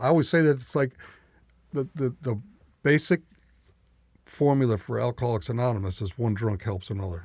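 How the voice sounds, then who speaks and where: A man with a medium pitch talks at a fairly quick pace with lively intonation, a somewhat breathy sound, and long, frequent pauses. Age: 60s. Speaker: recovering alcoholic sharing his story. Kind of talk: casual conversation, recovery testimony.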